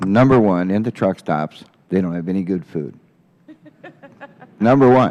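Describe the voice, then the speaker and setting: This man's pitch is very deep and low, with ordinary pitch variation. He speaks at a moderate pace with long, frequent pauses. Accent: American. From Washington state. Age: 60s. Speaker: truck driver. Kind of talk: congressional hearing testimony.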